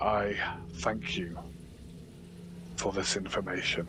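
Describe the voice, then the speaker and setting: A man puts on a character voice with a very deep, low pitch. He talks at a fairly slow pace over clear background noise. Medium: actual play. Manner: formal, regal, measured.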